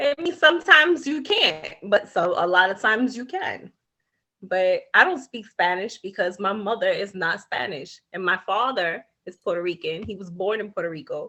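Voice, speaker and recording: A woman with a Brooklyn accent, a bright, sharp tone, medium pitch, very wide pitch swings, big swings in loudness and a moderate pace. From New York, Brooklyn. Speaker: podcast co-host. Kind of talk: casual chat.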